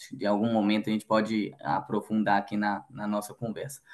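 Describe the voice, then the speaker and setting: Speaking with a strong Minas Gerais accent, a man uses a fairly low pitch and monotone, flat intonation. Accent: strong Minas Gerais (mineiro). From Minas Gerais, Belo Horizonte, Brazil. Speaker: logistics manager. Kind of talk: podcast interview.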